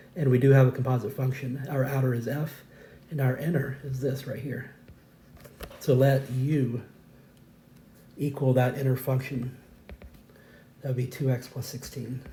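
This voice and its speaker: Music plays behind a man of medium pitch speaking at a moderate pace. His intonation is monotone and flat, with long, frequent pauses. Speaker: math teacher. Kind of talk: tutorial. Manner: hesitant with fillers.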